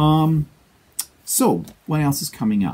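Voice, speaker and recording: Somewhat breathy and dark, mellow in tone, a man's fairly high voice moves at a moderate pace with a Canadian accent. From Canada. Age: 60s. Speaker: quilting vlogger. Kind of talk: casual vlog monologue. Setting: home studio. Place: home room. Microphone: lapel.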